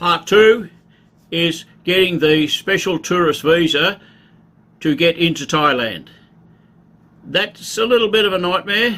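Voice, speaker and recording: A man with an Australian accent speaks at a high pitch and a fairly slow pace, leaving long, frequent pauses. His tone is bright and sharp, and his loudness stays very even. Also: ordinary pitch variation. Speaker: travel vlogger. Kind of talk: casual informational talk. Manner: casual, conversational.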